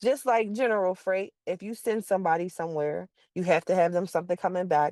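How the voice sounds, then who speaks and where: In an American accent, a woman with an unremarkable speaking voice talks at a medium pitch with lively intonation, in a dry, close sound with no echo. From Pittsburgh, Pennsylvania. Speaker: car hauling dispatcher. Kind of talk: informal teaching talk.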